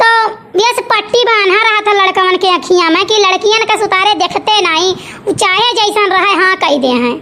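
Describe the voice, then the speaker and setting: Using a cartoonish character voice at an extremely high pitch, a woman speaks at a moderate pace over clear background noise. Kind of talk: cartoon comedy dub. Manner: judgmental, preachy.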